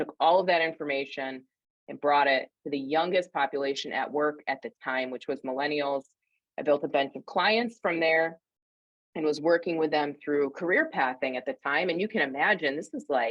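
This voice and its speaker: With a slight upstate New York accent, a woman speaks in a very deep, low voice. Her pace is moderate, and her pitch varies in an ordinary way. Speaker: career coach and speaker. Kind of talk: interview.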